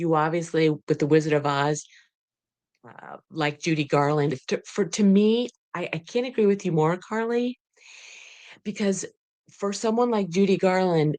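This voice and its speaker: A woman with a fairly low voice speaks at a moderate pace with lively intonation and long, frequent pauses against a quiet background. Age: 60s. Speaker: podcast host. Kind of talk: interview.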